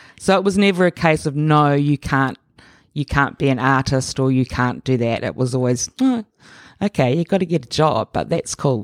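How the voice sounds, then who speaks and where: A woman with a New Zealand accent speaks at a moderate pace, her pitch very deep and low with ordinary variation. The sound is dry and close with no echo, on a very clean recording with a silent background. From New Zealand, Auckland. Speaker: artist and curator. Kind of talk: interview conversation.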